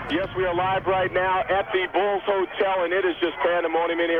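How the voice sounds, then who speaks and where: Music plays behind a man talking at a fairly quick pace. His voice is high in pitch, with fairly even intonation. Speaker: TV news reporter. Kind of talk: live phone report. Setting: phone call from crowded hotel. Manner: quiet.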